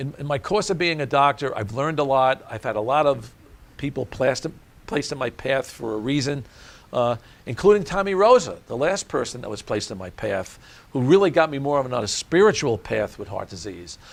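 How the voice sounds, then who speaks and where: A man talks fairly quickly in an American accent, his voice fairly high. His pitch swings very widely. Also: big swings in loudness. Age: 70s. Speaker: cardiologist. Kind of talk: interview. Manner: halting.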